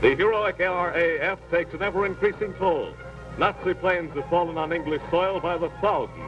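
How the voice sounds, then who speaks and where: Music plays in the background. The voice moves at a fairly quick pace with fairly even intonation. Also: man, high pitch for a man. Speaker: newsreel narrator. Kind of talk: newsreel narration.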